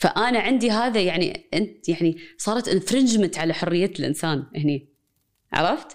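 Speaking with a Kuwaiti accent, a woman uses lively intonation. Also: medium pitch for a woman, moderate pace, very even loudness. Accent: Kuwaiti Arabic with English code-switching. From Kuwait, Palestinian family. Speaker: associate professor of media and cultural studies. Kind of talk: conversational interview.

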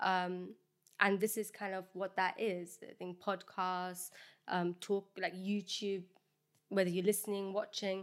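A woman speaks with a London accent at a moderate pace and medium pitch. Her intonation is monotone and flat, and the recording is very clean with a silent background. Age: 20s. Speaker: podcast co-host. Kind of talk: casual chat.

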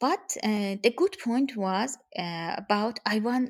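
A woman speaks with a Persian accent at a very slow pace. Her pitch is fairly high, with ordinary variation. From Iran. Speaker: guest's wife. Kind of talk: interview conversation. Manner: halting.

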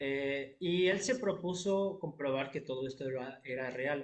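A man talks at a fairly slow pace with an unremarkable speaking voice. His pitch sits fairly high, with ordinary pitch variation. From Mexico, Querétaro. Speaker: jazz pianist. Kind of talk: interview.

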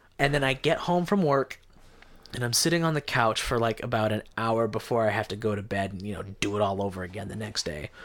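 Using a normal speaking voice, a man with an American accent talks with lively intonation. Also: medium pitch for a man, fairly quick pace. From Idaho (Caldwell). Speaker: stand-up comedian. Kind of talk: casual chat.

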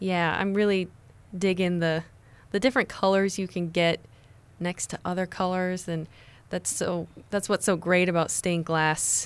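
In a very clean recording with a silent background, the speaker uses an American accent, a moderate pace and monotone, flat intonation, with long, frequent pauses. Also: woman, medium pitch for a woman. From Nebraska, US (Lincoln). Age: young. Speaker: painter. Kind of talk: radio interview. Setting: radio studio.

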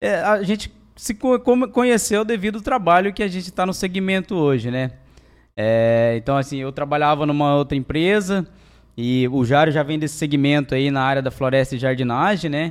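Lively intonation marks this man's speech at a moderate pace. He has a plain, everyday voice. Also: fairly high pitch for a man. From Mato Grosso do Sul, Brazil. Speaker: business owner. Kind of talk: casual interview.

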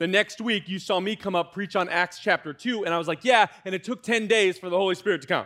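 A man with an American accent speaks at a fairly quick pace in a high voice, his tone bright and sharp, his pitch moving in an ordinary way, and the sound dry and close with no echo. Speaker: student pastor. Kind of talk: sermon. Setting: church. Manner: casual, conversational, animated.

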